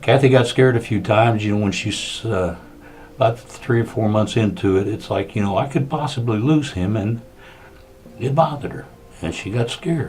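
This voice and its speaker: Clearly audible background noise behind a man's medium-pitched voice, moving fairly quickly. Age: 60s. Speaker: cancer patient giving testimony. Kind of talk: testimony. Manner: halting.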